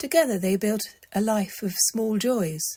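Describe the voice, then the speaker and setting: A woman's calm, soothing, somewhat breathy voice at a fairly slow pace, with ordinary pitch variation. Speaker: storyteller. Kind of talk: bedtime story reading.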